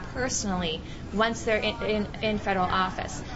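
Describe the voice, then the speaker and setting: Noticeable background noise sits behind a woman's fairly high voice. She uses ordinary pitch variation. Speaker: atheist organization administrator and lobbyist. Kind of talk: interview.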